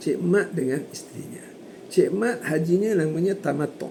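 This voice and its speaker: Speaking at a moderate pace, a man has a high-pitched voice with a dark, mellow tone. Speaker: hajj course teacher. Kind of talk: lecture. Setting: online course. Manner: formal.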